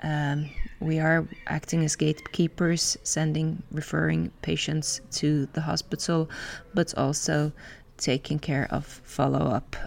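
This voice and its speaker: A woman speaks at a very deep, low pitch in a Finnish accent. Her intonation is monotone and flat, and her pace fairly slow. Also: very even loudness. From Finland. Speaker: general practitioner and podcast host. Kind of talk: interview. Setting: congress venue.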